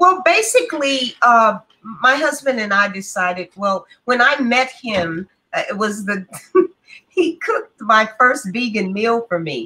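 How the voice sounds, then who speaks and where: A bright, sharp tone with lively intonation at a fairly slow pace. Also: woman, fairly high pitch for a woman. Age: 60s. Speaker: vegan chef and health advocate. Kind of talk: interview conversation.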